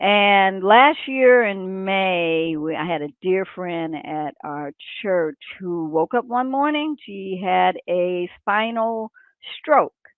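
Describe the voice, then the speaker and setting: The woman has an unremarkable speaking voice at a medium pitch, with lively intonation. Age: 60s. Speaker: aspiring transportation business owner. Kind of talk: group discussion. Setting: live stream.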